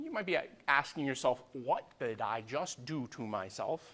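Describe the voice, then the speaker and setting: The man's voice has a bright, sharp tone and a medium pitch. He talks at a moderate pace. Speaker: university lecturer. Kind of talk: lecture. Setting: lecture hall, streamed live. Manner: loud; casual, digressive.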